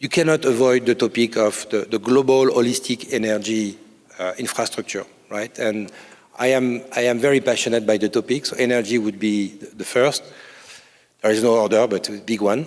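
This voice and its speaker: This man speaks with a French accent at a moderate pace and a medium pitch. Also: fairly even intonation. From France. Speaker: corporate incubator CEO. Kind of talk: conference panel interview. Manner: halting, many fillers and repetitions.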